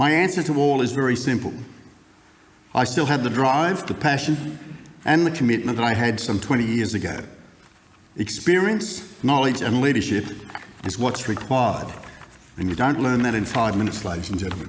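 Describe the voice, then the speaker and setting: In an Australian accent, a man with a medium pitch speaks at a moderate pace with lively intonation and long, frequent pauses, amid noticeable background noise and audible room echo. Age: 70s. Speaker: council candidate. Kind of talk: campaign speech. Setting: stage with audience.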